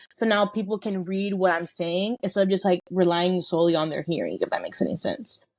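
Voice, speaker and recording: Fairly quick speech from a woman at a medium pitch. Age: 20s. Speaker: content creator and cosmetics founder. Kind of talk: casual chat.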